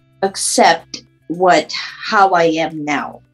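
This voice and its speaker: Music can be heard in the background. A woman is speaking over it. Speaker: stroke survivor with aphasia. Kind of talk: interview answer. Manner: halting, with word-finding pauses.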